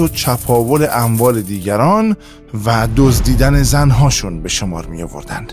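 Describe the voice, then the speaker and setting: Music sounds behind the speaker. He is a man whose intonation is lively. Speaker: voice actor. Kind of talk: history documentary narration.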